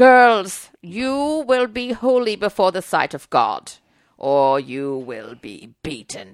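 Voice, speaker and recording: A female-sounding voice at medium pitch does a put-on character voice. It moves at a very slow pace with very wide pitch swings. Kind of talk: authoritarian. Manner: harsh, threatening, commanding.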